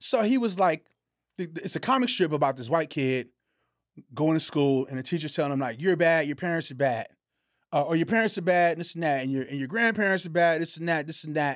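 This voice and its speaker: In a very clean recording with a silent background, a man with an ordinary speaking voice and a fairly high pitch talks at a fairly quick pace with lively intonation. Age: 40s. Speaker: podcast co-host. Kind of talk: casual chat.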